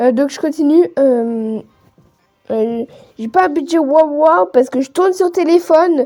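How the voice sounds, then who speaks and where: At a fairly slow pace, a woman speaks in a high voice with lively intonation. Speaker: gaming youtuber. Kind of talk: casual gaming commentary. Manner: halting, many hesitations; improvised. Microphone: phone recording, poor sound.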